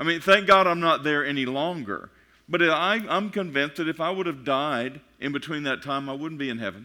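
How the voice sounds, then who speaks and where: With a Texan accent, a man speaks at a fairly quick pace in a bright, sharp, fairly high voice with ordinary pitch variation, recorded very cleanly against a silent background. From Texas. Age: 50s. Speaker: pastor. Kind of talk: sermon. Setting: church. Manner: fast; animated.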